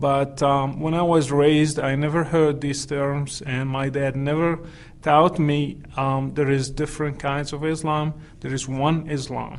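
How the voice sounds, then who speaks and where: A man speaks at a fairly slow pace in a fairly high pitch. His intonation stays monotone and flat. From Morocco. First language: Moroccan Arabic. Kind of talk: interview testimony. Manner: halting, many fillers.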